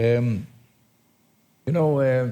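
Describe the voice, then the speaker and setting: Somewhat breathy and in a dark, mellow tone, a man with an Israeli accent speaks at a medium pitch and moderate pace with fairly even intonation. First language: Hebrew. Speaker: tour guide. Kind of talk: guided tour talk. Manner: halting.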